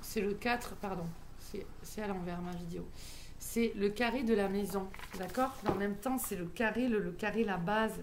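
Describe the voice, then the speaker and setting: In a southwestern French accent, a woman speaks at a fairly slow pace with fairly even intonation and a medium pitch. Noticeable background noise and audible room echo fill the recording. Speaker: medium and numerologist. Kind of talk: spiritual teaching monologue. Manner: hesitant, many fillers.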